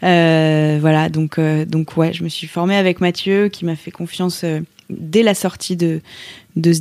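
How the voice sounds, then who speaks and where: With fairly even intonation, a woman speaks at a fairly slow pace and a fairly low pitch. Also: dry, close sound with no echo. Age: 30s. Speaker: yoga teacher. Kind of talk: interview testimony. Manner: hesitant, many fillers and repeated words.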